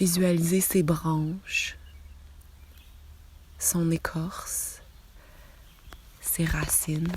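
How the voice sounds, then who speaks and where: A soft-spoken woman talks in a calm tone at a very slow pace. She leaves long, frequent pauses. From Quebec. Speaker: meditation guide. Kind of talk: guided relaxation visualisation. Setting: outdoors, birds audible. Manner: soft, calm.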